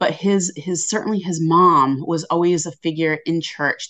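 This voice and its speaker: Using a normal speaking voice, a woman talks at a fairly slow pace with a fairly low pitch and ordinary pitch variation. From southeastern Massachusetts. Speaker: history lecturer. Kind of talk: interview.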